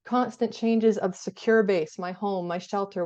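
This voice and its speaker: The speech comes at a fairly quick pace with fairly even intonation against a quiet background. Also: woman. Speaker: therapist. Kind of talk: lecture. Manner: fast.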